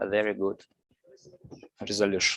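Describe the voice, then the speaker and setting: Fairly slow speech with a Russian accent. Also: man. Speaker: lecturer. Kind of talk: lecture. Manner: halting.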